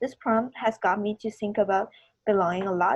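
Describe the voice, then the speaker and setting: At a moderate pace, a woman with a Chinese accent speaks at a medium pitch. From China. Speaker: student artist. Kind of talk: artist talk at virtual reception.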